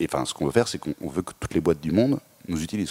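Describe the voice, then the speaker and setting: This man talks at a very fast pace with a very deep, low pitch and some vocal fry. His pitch varies an ordinary amount. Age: 30s. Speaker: startup founder and CEO. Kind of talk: interview.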